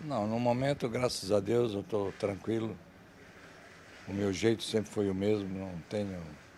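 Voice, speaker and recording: This man speaks at a fairly slow pace with a dark, mellow tone, fairly low pitch, fairly even intonation, and long, frequent pauses. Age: 70s. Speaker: street interviewee. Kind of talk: street interview.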